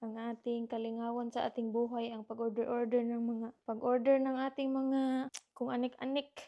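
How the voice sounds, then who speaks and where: Soft-spoken and moderately paced, the voice has a dark, mellow tone and monotone, flat intonation. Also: woman. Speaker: vlogger. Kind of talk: casual vlog chat. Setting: at home, partner sleeping. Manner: soft-spoken, lowered voice.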